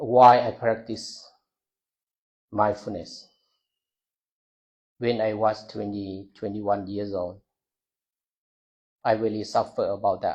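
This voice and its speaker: Very slow and broken by long, frequent pauses, a man's speech carries a non-native accent and a monotone, flat intonation. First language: not English. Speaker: Buddhist monk. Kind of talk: talk to a university audience. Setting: university hall with audience. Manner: halting.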